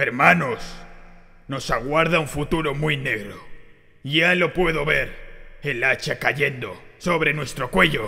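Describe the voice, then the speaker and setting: Using a put-on character voice, a man talks at a fairly slow pace and a fairly high pitch. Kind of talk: sermon. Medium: dub. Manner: impassioned, shouting.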